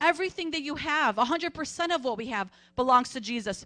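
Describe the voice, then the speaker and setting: A raised, projected voice with a bright, sharp tone moves at a moderate pace with ordinary pitch variation over a quiet background. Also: woman. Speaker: church announcer. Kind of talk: church announcements. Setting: church.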